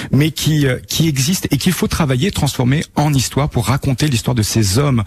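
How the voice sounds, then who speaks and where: Noticeable background noise sits under speech delivered at a fairly quick pace with lively intonation. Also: man. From Normandy, France (Bayeux). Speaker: tour guide. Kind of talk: radio interview. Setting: live outside broadcast.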